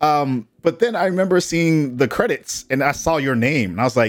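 Speech moves at a middling speed. Its pitch rises and falls very widely. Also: man. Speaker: podcast host. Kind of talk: casual chat. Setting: livestream. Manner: enthusiastic.

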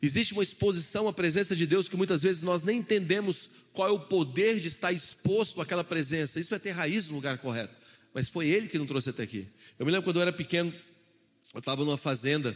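Very clean, with a silent background, the recording catches a man with a high pitch speaking at a very fast pace in an animated tone, his pitch varying in an ordinary way. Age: 20s. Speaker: pastor. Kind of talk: sermon.

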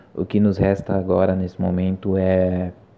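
The man's voice is very deep and low, with monotone, flat intonation. He speaks at a fairly slow pace. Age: 20s. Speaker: podcast host, film student. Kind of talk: casual solo podcast monologue.

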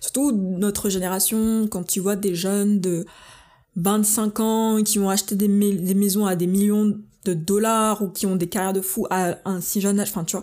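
A woman speaks at a fairly slow pace with a medium pitch, very even loudness and monotone, flat intonation. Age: 20s. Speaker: solo podcaster. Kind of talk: casual monologue. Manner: frequent English code-switching; hesitant, many fillers.

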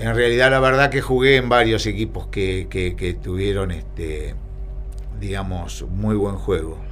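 A man speaks at a fairly slow pace amid noticeable background noise and audible room echo. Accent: Rioplatense. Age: 60s. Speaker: retired footballer. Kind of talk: casual interview. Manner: halting.

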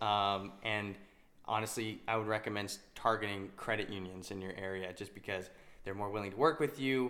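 A fairly low-pitched man's voice with a bright, sharp tone and an American accent. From Utah. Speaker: ATM business owner and podcast co-host. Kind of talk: casual chat. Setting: home.

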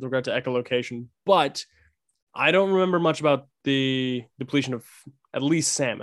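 At a moderate pace, a man talks in a plain, everyday voice at a medium pitch. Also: quiet background. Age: 20s. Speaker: guest, TikTok creator on orcas. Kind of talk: casual chat.

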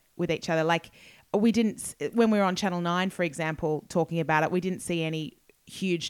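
In an Australian accent, a woman talks with ordinary pitch variation. The recording is very clean, and the background is silent. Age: 40s. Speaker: broadcaster and writer. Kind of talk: interview.

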